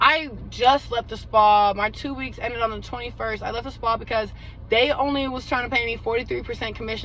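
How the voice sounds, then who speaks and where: Audible room echo surrounds the voice. A woman speaks at a moderate pace. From Bay Area, California. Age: 30s. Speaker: hairstylist and lash artist vlogger. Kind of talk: casual vlog chat. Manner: animated, chatty.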